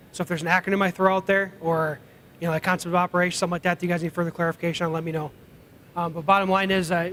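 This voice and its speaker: At a very fast pace, a man speaks in a high, bright, sharp tone with monotone, flat intonation. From Iceland. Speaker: aviation program director. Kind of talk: conference presentation.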